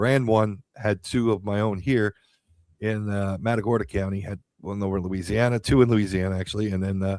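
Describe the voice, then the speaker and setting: A man with an American accent, fairly low in pitch, at a fairly quick pace with fairly even intonation, on a very clean recording with a silent background. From Pennsylvania, Allentown. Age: 60s. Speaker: radio host and county judge candidate. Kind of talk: campaign talk on radio show. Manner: halting, many fillers and repeats.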